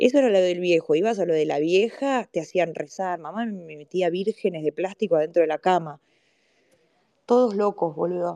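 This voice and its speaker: A woman speaks in a fairly low, dark, mellow voice at a moderate pace. The sound is dry and close with no echo. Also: ordinary pitch variation. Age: old. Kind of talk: casual chat.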